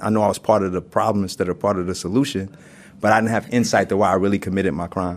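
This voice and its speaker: In a New York accent, a man talks at a very fast pace. His fairly low pitch keeps a fairly even intonation. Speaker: prison inmate. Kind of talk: panel discussion. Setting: prison.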